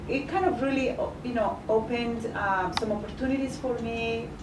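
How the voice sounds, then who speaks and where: A woman with a Spanish accent talks at a moderate pace with ordinary pitch variation, with audible room echo and noticeable background noise. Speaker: journalist. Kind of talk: interview. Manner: halting, many fillers.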